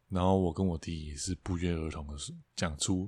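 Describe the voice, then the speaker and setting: A man with a very deep, low, somewhat breathy voice speaks with fairly even intonation on a very clean recording with a silent background. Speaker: podcast co-host, songwriter. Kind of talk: casual chat.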